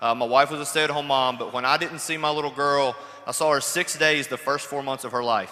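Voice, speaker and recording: Delivered at a fairly quick pace, the speech has monotone, flat intonation against noticeable background noise. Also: man, fairly high pitch for a man. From Kentucky. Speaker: network marketing entrepreneur. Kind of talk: panel talk, personal success story. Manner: casual, joking.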